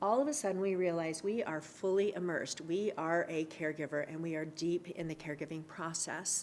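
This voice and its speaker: Hardly pausing at all, a woman talks in a fairly low pitch with fairly even intonation. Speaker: adult day services speaker. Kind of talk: presentation. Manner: loud.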